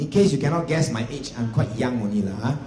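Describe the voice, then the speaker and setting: A man with a Singaporean accent and very wide pitch swings, amid noticeable background noise and audible room echo. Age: 40s. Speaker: real estate agency executive. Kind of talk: seminar talk. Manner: animated.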